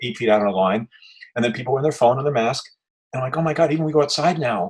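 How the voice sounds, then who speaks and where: A man with a New York accent speaks at a very fast pace. His somewhat breathy voice sits at medium pitch, with ordinary pitch variation. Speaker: activist interviewer. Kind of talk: casual chat. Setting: video call.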